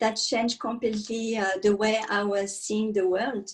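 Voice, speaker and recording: A woman with a French accent talks at a fairly high pitch with fairly even intonation. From France (countryside). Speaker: meditation and yoga teacher. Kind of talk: interview testimony.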